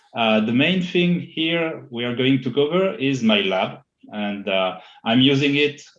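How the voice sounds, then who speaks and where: Here is a man speaking. He has a French accent. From France. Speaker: IT consultant. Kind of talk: interview. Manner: halting, many fillers.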